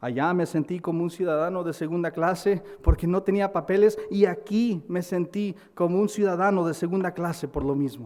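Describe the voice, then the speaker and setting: With an American accent, the speaker keeps a moderate pace and ordinary pitch variation with hardly any pauses, over noticeable background noise. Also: man, high pitch for a man. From United States. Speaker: pastor. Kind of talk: sermon. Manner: halting, with repetitions.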